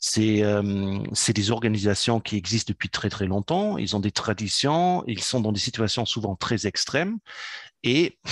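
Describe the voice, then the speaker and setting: The sound is dry and close, with no echo, as a man speaks at a fairly slow pace. His pitch is fairly low, with ordinary variation. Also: very even loudness. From German, raised in Africa. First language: German (speaking French). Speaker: entrepreneur and business consultant. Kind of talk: interview. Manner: hesitant, many fillers.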